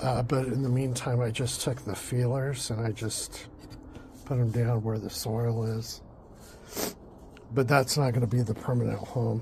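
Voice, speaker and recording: A man at a medium pitch in a monotone, flat intonation, moderate pace with long, frequent pauses, audible room echo and noticeable background noise. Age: 60s. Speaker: home gardening vlogger. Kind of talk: casual garden vlog. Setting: outdoors in garden. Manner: casual with many fillers.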